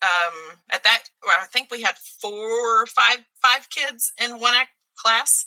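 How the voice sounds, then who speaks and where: In a Texan accent, a woman speaks with a fairly high pitch and a bright, sharp tone, recorded dry and close with no echo. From Texas (Mesquite, Dallas area). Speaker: theater teacher. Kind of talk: casual interview.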